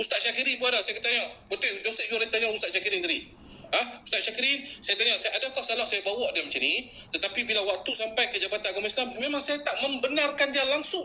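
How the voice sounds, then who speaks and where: Extremely high-pitched and very fast, a man talks in a raised, projected voice with an animated tone over noticeable background noise. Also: ordinary pitch variation, hardly any pauses. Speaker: social media activist. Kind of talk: live stream talk. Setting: live stream.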